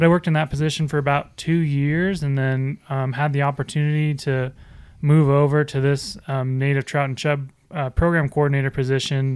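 A man's fairly high, monotone voice at a fairly quick pace, flat in intonation, on a very clean recording with a silent background. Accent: American. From Wisconsin, US Midwest. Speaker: fisheries biologist. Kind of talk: casual chat.

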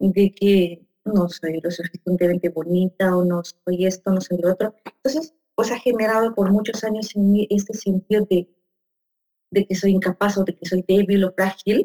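Dark and mellow in tone, the voice keeps fairly even intonation at a moderate pace, sounding dry and close with no echo. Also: woman, medium pitch for a woman. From Peru. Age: 40s. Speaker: psychologist and coach. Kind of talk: conversational interview.

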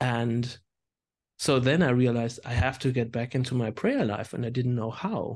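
With a German accent, this man keeps a moderate pace. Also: medium pitch for a man, fairly even intonation, quiet background. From Germany. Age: 40s. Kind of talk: casual chat.

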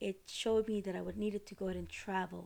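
You hear a woman talking. She has a Costa Rican accent. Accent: non-native accent, from Costa Rica. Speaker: podcast host, ceremony retreat leader. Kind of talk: solo educational talk. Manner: casual, many fillers.

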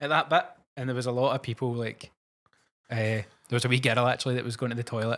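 In a very clean recording with a silent background, a man with a Glasgow accent speaks very fast at medium pitch with fairly even intonation and long, frequent pauses. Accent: Scottish (Glasgow area). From Scotland, Cumbernauld. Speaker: podcast co-host. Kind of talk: casual chat.

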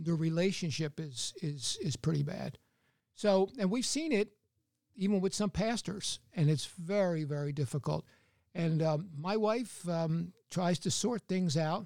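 A man with a high-pitched voice speaks at a fairly slow pace with ordinary pitch variation, in a dry, close sound with no echo and a very clean recording over a silent background. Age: 70s. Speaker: retired businessman, church counselor. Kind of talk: interview.

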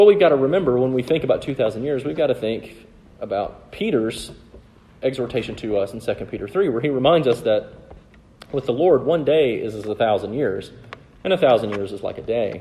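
This man speaks in a Southern US accent at a fairly quick pace. His pitch is medium and his intonation lively. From US South. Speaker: preacher. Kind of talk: sermon.

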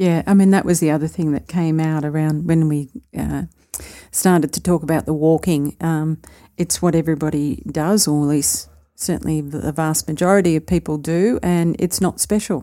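A woman talks at a moderate pace with fairly even intonation and a very deep, low pitch. Her tone is dark and mellow, and the recording is very clean with a silent background. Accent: Australian. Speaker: podcast co-host. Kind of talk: casual chat.

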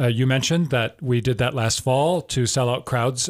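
A man's normal speaking voice with an American accent, medium in pitch, with ordinary pitch variation and a fairly quick pace, on a very clean recording with a silent background. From southern Wisconsin. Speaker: theater artistic director. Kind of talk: radio interview. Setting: radio studio.

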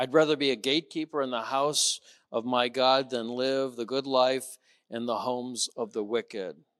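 A man's unremarkable speaking voice, medium in pitch, at a moderate pace, in a dry, close sound with no echo. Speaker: rabbi. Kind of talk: religious discussion with guest.

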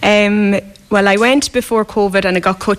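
A woman speaks with an Irish accent. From west of Ireland. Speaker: hospital worker. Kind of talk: storytelling in a radio interview. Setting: live outside broadcast with local audience.

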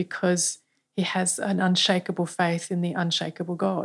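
On a very clean recording with a silent background, a woman with an Australian accent speaks at a medium pitch and a fairly slow pace. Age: 50s. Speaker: church leader. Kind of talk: podcast interview.

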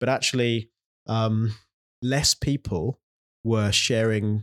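A man with a London accent and a fairly low pitch, in a very clean recording with a silent background. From London (south, near Morden). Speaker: mission agency director and church planter. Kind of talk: interview conversation. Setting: office building in central London.

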